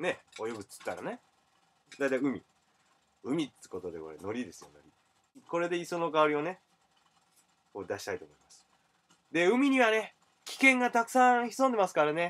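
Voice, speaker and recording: A man with a high pitch, very wide pitch swings, a moderate pace and long, frequent pauses. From Japan, Ise (Mie). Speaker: comedian. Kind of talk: cooking video. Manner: casual, rambling.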